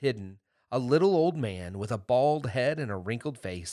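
Someone reads aloud plainly, with lively intonation. Little else is heard behind the voice.

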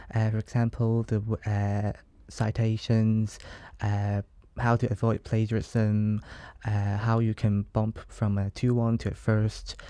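On a very clean recording with a silent background, the speaker talks at a very slow pace with a Hong Kong accent, flat monotone intonation and very even loudness. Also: man, fairly low pitch for a man. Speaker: law student. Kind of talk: interview.

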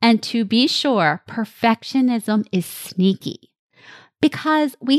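Very slow and with very wide pitch swings, a woman speaks over a quiet background in a dry, close sound with no echo. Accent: New Jersey. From New Jersey, US. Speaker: podcast host and life coach. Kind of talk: solo podcast monologue.

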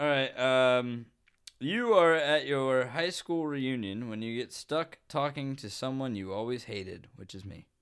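A man's plain, everyday voice at medium pitch, fairly slow pace, ordinary pitch variation and big swings in loudness, on a very clean recording with a silent background. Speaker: podcast host. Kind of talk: casual chat. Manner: joking, playful.

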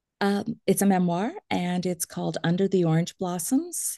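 Recorded with a dry, close sound and no echo, a woman talks at a moderate pace in a fairly low voice with a dark, mellow tone. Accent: American. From US Midwest. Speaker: author and event planner. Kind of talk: interview testimony. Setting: remote call.

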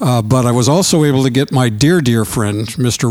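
A man with an American accent speaks at a moderate pace and a medium pitch. Noticeable background noise is present. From US Midwest. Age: 70s. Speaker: musician. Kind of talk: casual interview. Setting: recording studio.

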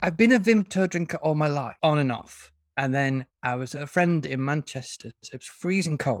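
With a northern English accent, a man with a fairly high pitch talks at a moderate pace with lively intonation and hardly any pauses, in a dry, close sound with no echo. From northern England. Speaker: fantasy author. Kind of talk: casual interview chat.

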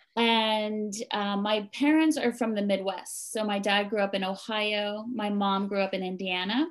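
On a very clean recording with a silent background, a woman with a New Jersey accent speaks at a fairly slow pace in medium pitch with hardly any pauses. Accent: US East Coast (New Jersey). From New Jersey, US. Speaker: mindfulness teacher and temple co-runner. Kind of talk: interview conversation.

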